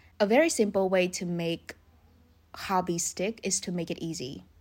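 Speaking at a moderate pace, a woman has a normal speaking voice. Her pitch is medium with ordinary variation. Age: 20s. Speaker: podcast host and youtuber. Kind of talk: solo monologue, casual advice talk.

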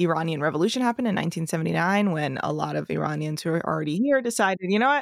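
On a very clean recording with a silent background, a woman with an American accent speaks at a fairly low pitch with lively intonation. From US, Bay Area of California. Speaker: comedy producer and podcast host. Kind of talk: casual interview chat.

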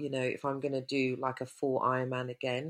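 In a London accent, a woman speaks at a moderate pace with a very deep, low pitch, recorded very cleanly against a silent background. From West London. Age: 50s. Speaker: triathlete and cyclist. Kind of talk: casual interview chat.

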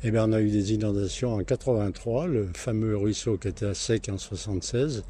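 A somewhat breathy man's fairly low, dark, mellow voice at a fairly slow pace with ordinary pitch variation. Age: 80s+. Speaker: retired market gardener. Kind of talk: interview. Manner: halting.

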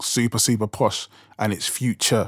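A man speaks in a South London accent, recorded with a dry, close sound with no echo. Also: very clean recording, silent background. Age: 40s. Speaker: rapper and podcast host. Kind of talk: casual podcast monologue. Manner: fast talker.

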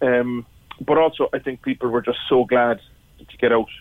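A man speaks with a Cork accent at a medium pitch. His intonation stays fairly even. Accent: Cork Irish. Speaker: pub owner. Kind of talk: radio phone-in interview. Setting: phone call. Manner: halting.

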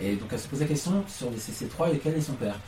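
Noticeable background noise sits behind this man's voice. His pitch varies in an ordinary way. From Lyon, France. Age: 20s. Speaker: musical theatre performer. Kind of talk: interview.

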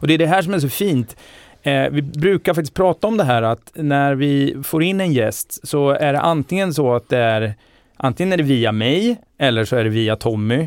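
On a very clean recording with a silent background and dry, close sound with no echo, a man speaks at a moderate pace in a plain, everyday voice, fairly high in pitch, with lively intonation and very even loudness. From Sweden, Linköping. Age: 40s. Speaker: podcast host. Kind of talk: casual chat.

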